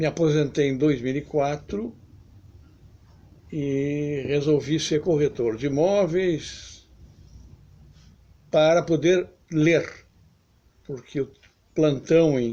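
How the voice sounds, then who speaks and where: His tone is dark and mellow, with a fairly high pitch for a man. The man talks at a very slow pace, leaving long, frequent pauses. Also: fairly even intonation. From southern Brazil, Porto Alegre. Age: 70s. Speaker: author and political commentator. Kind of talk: video essay monologue.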